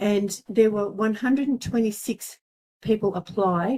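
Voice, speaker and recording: In a dark, mellow tone, a woman speaks with fairly even intonation. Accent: Australian. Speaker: local historian. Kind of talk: talk to a seniors' group. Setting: community centre talk with audience. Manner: halting, many ums.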